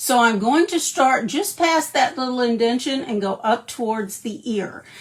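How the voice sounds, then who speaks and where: A high-pitched woman at a moderate pace with lively intonation, plus noticeable background noise. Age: 60s. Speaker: makeup artist. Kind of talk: tutorial. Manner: animated.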